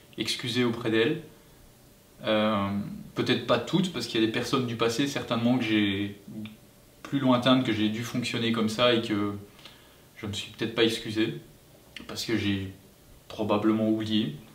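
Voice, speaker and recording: At a moderate pace, a man with a medium pitch and ordinary pitch variation speaks with long, frequent pauses, amid audible room echo and noticeable background noise. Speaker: family vlogger. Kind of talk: casual chat. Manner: halting.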